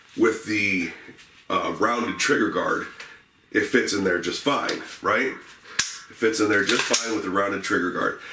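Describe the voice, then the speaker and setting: Fairly slow speech from a man reaches the ear through audible room echo and noticeable background noise. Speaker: gun reviewer. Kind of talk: product review. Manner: hesitant, many fillers.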